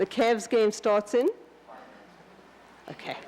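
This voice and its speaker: With a South African accent, a woman speaks over noticeable background noise. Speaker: landscape designer. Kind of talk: lecture. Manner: halting, many restarts.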